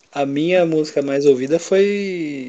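A man's fairly high voice, dark and mellow in tone, with ordinary pitch variation. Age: 20s. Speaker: podcast co-host. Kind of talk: casual chat. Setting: at home alone.

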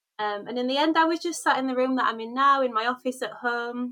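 Fairly high in pitch and bright and sharp in tone, a woman with a Yorkshire accent speaks at a fairly quick pace with ordinary pitch variation. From Hull, Yorkshire, northern England. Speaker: academic researcher. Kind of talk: interview conversation.

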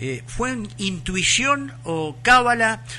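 A man with a Rioplatense accent speaks over noticeable background noise. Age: 70s. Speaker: radio co-host. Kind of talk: radio interview. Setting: studio.

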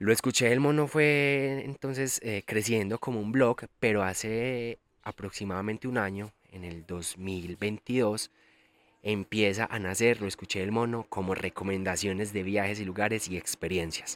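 A man with a Colombian paisa accent speaks fairly slowly at a fairly low pitch, with ordinary pitch variation. The recording is very clean with a silent background, and the sound is dry and close with no echo. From Colombia, Antioquia (El Carmen de Viboral). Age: 20s. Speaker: podcast host, travel influencer. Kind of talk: casual monologue. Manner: animated.

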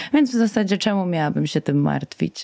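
An ordinary speaking voice from a woman, medium in pitch, at a moderate pace, with a dry, close sound with no echo. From Poland, Warsaw and Masuria. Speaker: singer and veterinary student. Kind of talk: radio interview. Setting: radio studio.

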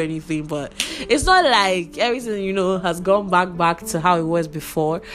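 Speaking fairly quickly, a woman is heard against noticeable background noise. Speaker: podcast host. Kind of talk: casual monologue. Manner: animated.

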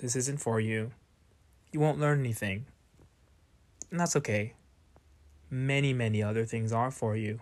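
The recording is very clean, with a silent background, as a man speaks at a moderate pace with long, frequent pauses. His pitch is medium and varies in an ordinary way. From US, Northern Virginia. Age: 20s. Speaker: podcast host. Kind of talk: solo monologue podcast.

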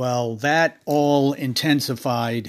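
A raspy man talks at a slow pace and medium pitch, with fairly even intonation.

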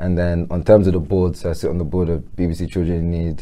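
A man's very deep, low voice with a London accent and a dark, mellow tone. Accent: London English, multicultural London. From south London (Peckham). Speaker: entrepreneur and charity board member. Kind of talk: casual interview.

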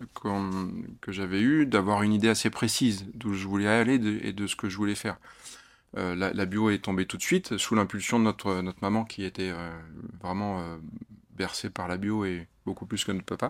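Here a man speaks at a moderate pace with a fairly low pitch. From France, Loire Valley (Chinon). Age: 40s. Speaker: winemaker. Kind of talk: casual interview. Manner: halting, many repetitions and fillers.

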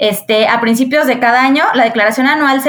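Speaking at a fairly quick pace with a Mexican accent, a woman talks over music in the background. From Mexico, Querétaro. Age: 30s. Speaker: accountant. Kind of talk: casual interview.

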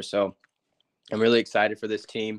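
With an American accent, a man talks at a fairly quick pace in a medium pitch and a monotone, flat intonation, the sound dry and close with no echo and the background quiet. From Northern California, Yuba City. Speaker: college baseball player. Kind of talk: interview.

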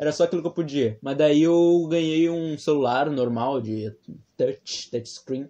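A man speaks at a fairly slow pace with a fairly high pitch. His pitch varies in an ordinary way, and it is an unremarkable speaking voice. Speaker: podcast co-host. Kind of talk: casual chat.

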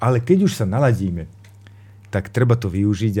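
Speaking at a moderate pace, a man uses a dark, mellow tone with ordinary pitch variation. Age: 40s. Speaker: teacher and workshop lecturer. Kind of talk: radio talk show discussion.

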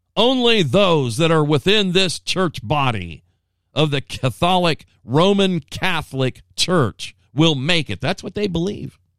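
A normal speaking voice at a fairly slow pace, with lively intonation and a dry, close sound with no echo, in a very clean recording with a silent background. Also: man, fairly high pitch for a man. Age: 60s. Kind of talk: Bible teaching monologue. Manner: casual with filler words.

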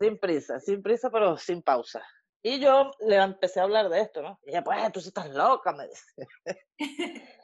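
Talking at a fairly slow pace, a woman with a medium pitch shows very wide pitch swings and big swings in loudness. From Venezuela. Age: 40s. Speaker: student of the course, interviewee. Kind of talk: casual interview, personal testimony.

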